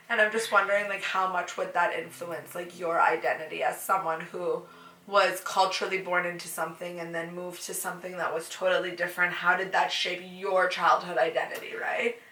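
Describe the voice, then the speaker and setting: At a fairly quick pace with hardly any pauses, the speaker talks in a monotone, flat intonation with a Canadian accent over noticeable background noise. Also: woman, medium pitch for a woman. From Canada. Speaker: podcast guest. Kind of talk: casual chat. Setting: sitting together in person.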